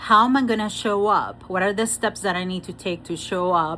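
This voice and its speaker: In a Spanish accent, a woman speaks at medium pitch. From Venezuela. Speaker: spiritual coach and Reiki master. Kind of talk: motivational talk with oracle card reading. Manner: animated, repetitive emphasis.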